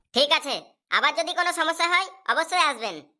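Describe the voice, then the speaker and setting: A woman's squeaky, cartoonish character voice, extremely high in pitch, at a very fast pace. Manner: calm, crafty.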